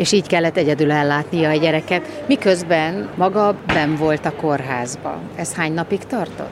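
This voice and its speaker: Background noise is noticeable as a woman speaks with hardly any pauses. Her pitch is very deep and low. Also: ordinary pitch variation, moderate pace. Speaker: radio reporter. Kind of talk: radio interview.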